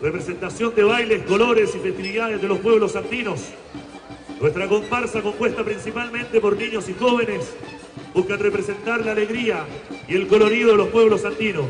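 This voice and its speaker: Over music in the background, a man with a high pitch talks at a fairly quick pace. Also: ordinary pitch variation. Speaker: event announcer. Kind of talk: event announcing, introducing performers. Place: street.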